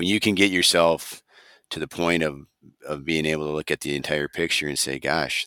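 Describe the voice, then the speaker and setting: With an Upper Midwest accent, a man talks at a fairly quick pace in a very deep, low voice with a bright, sharp tone, the sound dry and close with no echo. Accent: Upper Midwest (Minnesota). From Minnesota, Wright County. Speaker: rangeland extension specialist. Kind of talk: casual interview.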